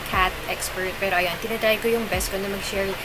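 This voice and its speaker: Music plays in the background as a woman talks. She speaks at a fairly quick pace with ordinary pitch variation. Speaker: pet vlogger. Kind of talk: casual vlog chat.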